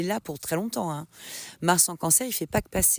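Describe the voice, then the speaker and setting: A woman's pitch swings very widely as she talks. The sound is dry and close, with no echo. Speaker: astrologer podcaster. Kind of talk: casual podcast monologue on astrology. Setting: outdoors in a forest. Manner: hesitant, many fillers.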